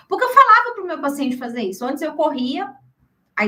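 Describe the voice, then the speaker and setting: A woman uses a raised, projected voice. Her tone is bright and sharp. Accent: Brazilian. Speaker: workshop speaker, health professional. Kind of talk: workshop presentation. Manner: animated.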